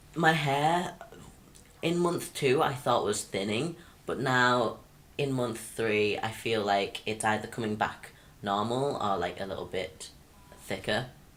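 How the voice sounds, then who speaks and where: The man talks at a fairly slow pace with long, frequent pauses. Room echo is audible. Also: medium pitch for a man, lively intonation. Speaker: vlogger. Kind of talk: personal vlog. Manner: hesitant, many fillers.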